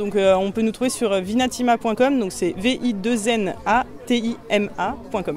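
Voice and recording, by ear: Faint background noise sits behind the speaker. She is a woman with a slightly mellow tone. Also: medium pitch for a woman, ordinary pitch variation, moderate pace.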